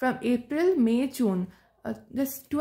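A woman speaks at a moderate pace with a high pitch. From India, West Bengal. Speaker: agriculture student, exam ranker. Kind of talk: testimonial talk, exam tips. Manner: hesitant, many fillers. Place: home room. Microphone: phone near.

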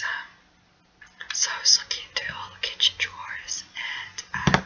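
Whispered words come at a fairly slow pace over noticeable background noise. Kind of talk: ASMR video talk.

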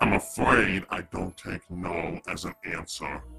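Faint music plays in the background as a man uses a put-on character voice, raspy and very deep, at a fairly slow pace. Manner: menacing, sneering.

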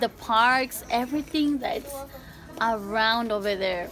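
Clear music plays behind a woman who talks at a fairly slow pace with ordinary pitch variation. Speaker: vlogger. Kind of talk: casual vlog chat. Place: shop. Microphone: phone near.

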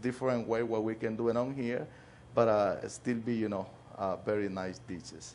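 A man talks with fairly even intonation. Light background noise sits behind him. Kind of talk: interview answer. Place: cafe. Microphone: lapel.

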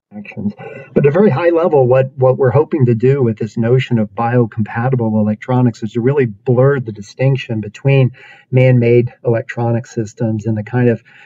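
Here a man speaks at a fairly quick pace. His intonation stays fairly even. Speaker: university professor presenting research. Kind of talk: lecture. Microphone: webcam.

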